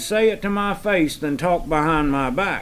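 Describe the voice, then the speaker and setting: A man with a Southern US accent, lively intonation and moderate pace. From US South. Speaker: farm hand. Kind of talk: casual chat.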